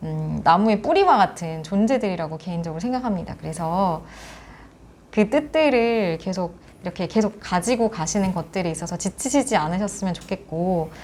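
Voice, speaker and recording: In a very clean recording with a silent background, a woman talks at a moderate pace and medium pitch in an ordinary speaking voice, her intonation lively. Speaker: education support center director. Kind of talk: interview. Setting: after a forum.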